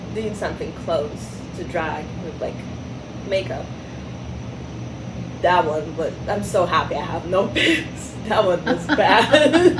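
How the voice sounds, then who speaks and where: Over noticeable background noise, the speaker talks at a very slow pace in a non-native accent, with long, frequent pauses. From Russia. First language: not English. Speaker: drag performer. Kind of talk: casual interview.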